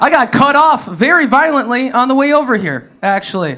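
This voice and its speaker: Raised and projected, a man's animated voice with an American accent sits at an extremely high pitch, with lively intonation at a moderate pace over noticeable background noise. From US Midwest, Wisconsin. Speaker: stand-up comedian. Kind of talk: stand-up. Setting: stage with audience.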